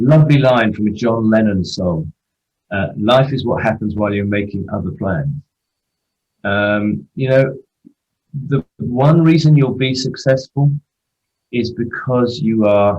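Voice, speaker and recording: At a fairly slow pace and with long, frequent pauses, a man with an English accent speaks at a medium pitch in a somewhat breathy voice. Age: 60s. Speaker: football agent. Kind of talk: interview.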